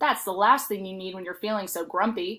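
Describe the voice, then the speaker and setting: Using a put-on character voice, a woman talks at a fairly quick pace and medium pitch in a very clean recording with a silent background. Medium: read story.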